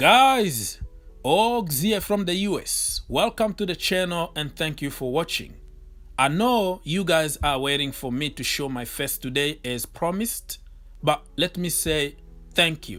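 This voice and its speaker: High-pitched male voice with a French accent, lively intonation and a fairly slow pace. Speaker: football YouTuber. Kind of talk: thank-you message to viewers.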